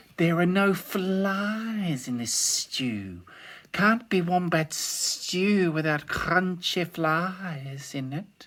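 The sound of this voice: This put-on character voice sits at a middle pitch and has a hissing quality. It moves at a very slow pace.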